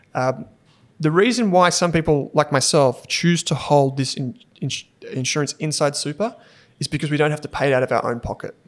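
Fairly high-pitched and fairly quick, a man talks with an Australian accent. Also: ordinary pitch variation. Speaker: finance podcast host. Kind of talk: casual chat.

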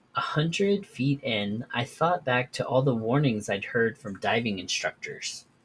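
Over noticeable background noise, a man with a medium pitch speaks at a fairly slow pace, using lively intonation and hardly any pauses. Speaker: podcast host. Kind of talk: horror story narration, read aloud from a written tale.

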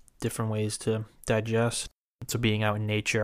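Against a silent background on a very clean recording, a man is speaking. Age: 20s. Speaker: guest, host's brother. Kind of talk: casual chat. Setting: home studio.

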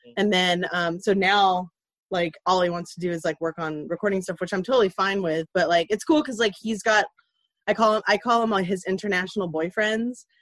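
A woman with an American accent and a plain, everyday voice, medium in pitch with ordinary pitch variation, talking at a fairly quick pace with big swings in loudness, in a dry, close sound with no echo. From Ventura, California. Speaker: true crime podcaster and teacher. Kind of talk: casual chat.

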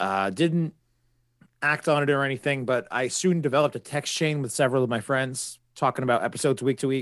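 This man has a plain, everyday voice at a medium pitch with ordinary pitch variation. He talks at a fairly quick pace against a quiet background. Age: 30s. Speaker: podcast host. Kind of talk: casual chat.

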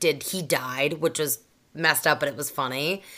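At a moderate pace, a woman with a very deep, low, raspy voice and a bright, sharp tone speaks on a very clean recording with a silent background. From Boston area, US. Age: 30s. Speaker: guest, content creator. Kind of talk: casual chat, joking.

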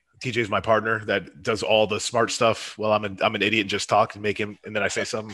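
Very fast speech from a man, fairly low in pitch, bright and sharp in tone, with hardly any pauses, in a very clean recording with a silent background. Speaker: strongman event organizer. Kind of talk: casual chat. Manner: animated, excited.

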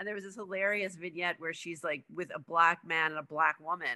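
Her tone is bright and sharp, with a fairly low pitch for a woman. She speaks very fast with fairly even intonation. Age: 40s. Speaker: writer. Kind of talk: casual chat.

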